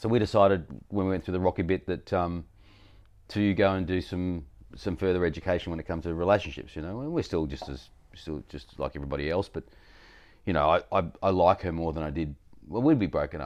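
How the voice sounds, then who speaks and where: A very deep, low-pitched man's voice with an Australian accent at a very fast pace, over a quiet background. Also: ordinary pitch variation. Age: 50s. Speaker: podcast guest. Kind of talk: casual chat. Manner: animated.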